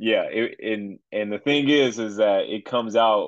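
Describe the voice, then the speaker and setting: The man's pitch sits at a medium level, and his intonation stays fairly even. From Chicago area. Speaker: pastor. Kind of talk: casual chat. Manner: halting, with many fillers.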